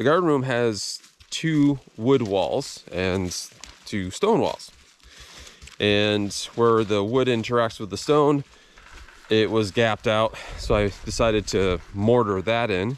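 Speaking very slowly with ordinary pitch variation, a man is heard in a dry sound with no echo. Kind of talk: casual vlog chat. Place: forest. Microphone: phone near.

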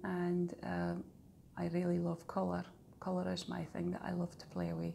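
With a Shetland accent, a woman speaks at a moderate pace over light background noise. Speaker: knitting designer and tutor. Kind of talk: casual podcast talk to camera. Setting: outdoors, breezy. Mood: warm, calm. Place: home room. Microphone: phone near.

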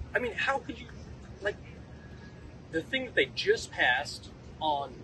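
Noticeable background noise surrounds a man whose voice sounds dry, with no echo. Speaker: scientist. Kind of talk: press conference speech. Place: street. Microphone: podium.

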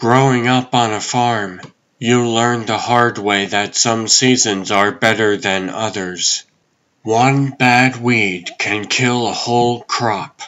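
A man speaks at a fairly slow pace. His medium-pitched voice keeps a fairly even intonation. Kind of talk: somber inner monologue. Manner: reflective, heavy-hearted.

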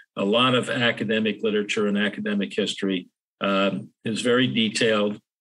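Here a man with an American accent talks at a fairly quick pace. His pitch is fairly low and his intonation fairly even. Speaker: historian and author. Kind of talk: interview conversation. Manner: hesitant, many fillers.

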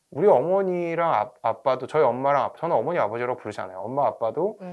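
Over a quiet background, a man speaks at a fairly quick pace with lively intonation and fairly high pitch. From South Korea. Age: 40s. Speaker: academy director and education YouTuber; guest. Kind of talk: interview. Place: studio. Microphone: lapel.

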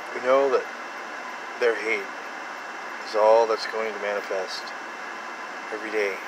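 Speech at a fairly slow pace with long, frequent pauses and monotone, flat intonation comes through a dry sound with no echo and noticeable background noise. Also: man, medium pitch for a man. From United States. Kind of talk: fervent prayer. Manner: fervent, pleading, urgent. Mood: solemn, earnest. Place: car. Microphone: phone near.

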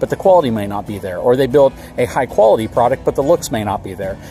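A man's voice, dry with no echo, over faint music in the background. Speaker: RV reviewer. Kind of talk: casual vlog commentary. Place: open country.

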